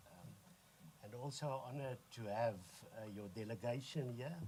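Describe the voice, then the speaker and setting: In a South African accent, a man talks at a medium pitch and a moderate pace with ordinary pitch variation, and audible room echo. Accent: Afrikaans South African. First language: Afrikaans. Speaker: organisation leader. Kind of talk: formal speech. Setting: press conference. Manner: halting.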